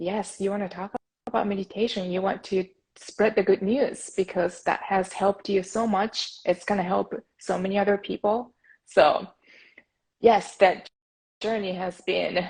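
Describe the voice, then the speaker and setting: With a Japanese accent, a woman speaks fairly slowly in a medium-pitched, somewhat breathy, monotone, flat voice, with long, frequent pauses. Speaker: podcast host, meditation advocate. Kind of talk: interview. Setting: Instagram live video call.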